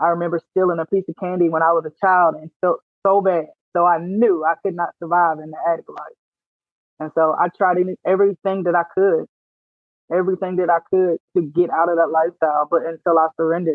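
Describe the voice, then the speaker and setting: Delivered in a Louisiana accent, the speech moves at a fairly quick pace with monotone, flat intonation. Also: woman, fairly low pitch for a woman. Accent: Southern US, rural Louisiana. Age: 30s. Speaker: military veteran and author. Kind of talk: testimony.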